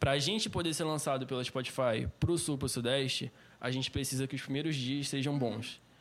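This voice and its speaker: Speaking at a fairly quick pace in a Rio de Janeiro accent, a man holds a medium pitch with fairly even intonation. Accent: Rio de Janeiro accent noticeable. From Rio de Janeiro state (Cabo Frio), Brazil. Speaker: singer. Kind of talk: casual chat.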